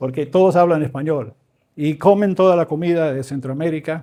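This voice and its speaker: The recording is very clean, with a silent background. A man with a fairly high pitch and a dark, mellow tone speaks at a moderate pace with ordinary pitch variation. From Venezuela, raised by Canadian missionary parents. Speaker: professor and visiting preacher. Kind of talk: sermon. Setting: church. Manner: informal, joking.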